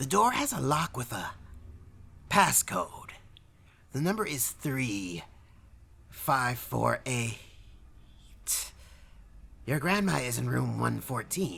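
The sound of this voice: In a put-on character voice, the speaker talks at a slow pace with a bright, sharp tone, vocal fry, big pitch swings and long, frequent pauses. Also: man, medium pitch for a man.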